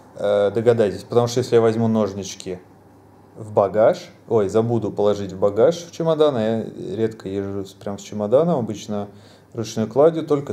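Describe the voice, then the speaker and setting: A man talks at a medium pitch with a dark, mellow tone. His loudness swings widely. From Russia. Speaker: travel vlogger. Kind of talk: casual travel vlog monologue. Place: home room. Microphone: phone near.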